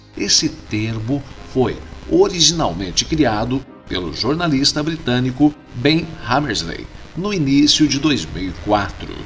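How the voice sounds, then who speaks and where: Over music in the background, a man with a fairly high pitch and lively intonation speaks at a fairly slow pace. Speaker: radio announcer, voice-over artist. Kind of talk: podcast narration.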